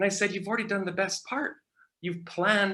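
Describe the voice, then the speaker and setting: A man speaks very fast in a raised, projected voice with a high pitch. His tone is bright and sharp. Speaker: marketing strategy speaker. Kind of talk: conference presentation.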